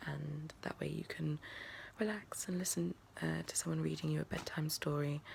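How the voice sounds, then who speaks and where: The speaker is soft-spoken, with an English accent and a moderate pace. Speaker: ASMR creator. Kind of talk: casual room tour. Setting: bedroom at home.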